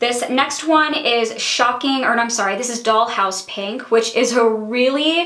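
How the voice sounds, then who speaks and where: A woman with a high pitch speaks at a fairly slow pace with hardly any pauses and ordinary pitch variation. Noticeable background noise and audible room echo come through. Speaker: beauty vlogger. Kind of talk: casual product review.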